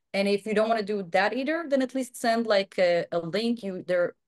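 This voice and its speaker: A woman with an Israeli accent and medium pitch speaks at a fairly quick pace. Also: quiet background. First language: Hebrew. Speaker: software quality director and online course instructor. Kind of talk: webinar Q&A.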